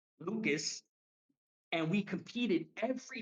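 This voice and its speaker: This man's voice sits high in pitch and moves with ordinary variation. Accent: New York. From New York City, Harlem. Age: 30s. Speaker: professional wrestler. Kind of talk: casual interview chat.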